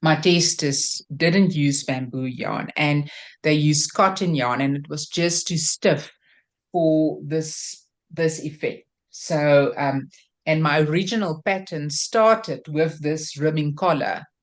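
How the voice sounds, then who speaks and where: Very slowly, a woman speaks in a very deep, low pitch. Her intonation stays fairly even over a quiet background. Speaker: crochet designer. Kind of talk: interview. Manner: hesitant, many fillers.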